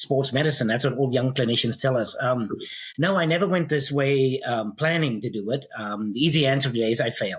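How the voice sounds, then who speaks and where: A man with a South African accent at medium pitch, somewhat breathy, at a fairly quick pace with ordinary pitch variation. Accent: South African (self-described funny accent). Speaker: physical therapist and pain science educator. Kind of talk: podcast interview. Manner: many filler ums.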